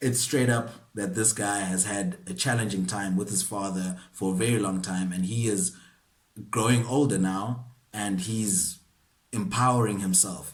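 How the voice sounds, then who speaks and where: A somewhat breathy man at a fairly slow pace, fairly low in pitch, with ordinary pitch variation. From South Africa, KwaZulu-Natal. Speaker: actor. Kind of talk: acting masterclass talk to camera. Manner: casual, conversational.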